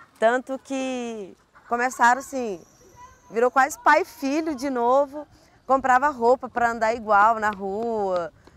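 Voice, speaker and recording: A woman with a high pitch, ordinary pitch variation and a fairly slow pace. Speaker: university social services worker. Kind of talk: interview answer.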